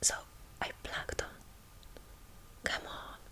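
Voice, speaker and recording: Whispering at a very slow pace, a woman with a Hungarian accent is heard over noticeable background noise. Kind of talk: ASMR book reading. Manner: soft-spoken.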